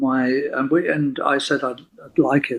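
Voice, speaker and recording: A man with an English accent. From southwest England, Plymouth. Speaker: violinist. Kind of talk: interview. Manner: halting.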